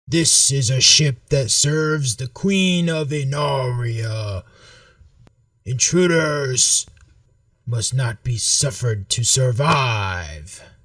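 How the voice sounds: Using a put-on character voice, a man speaks very slowly with a raspy sound at a medium pitch.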